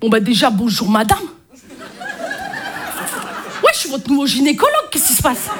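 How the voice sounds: A woman's put-on character voice, high in pitch, with very wide pitch swings at a moderate pace.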